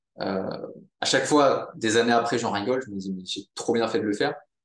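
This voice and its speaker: A man with an ordinary speaking voice talks at a moderate speed, using ordinary pitch variation. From Monaco. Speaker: entrepreneur, social network founder. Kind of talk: casual interview.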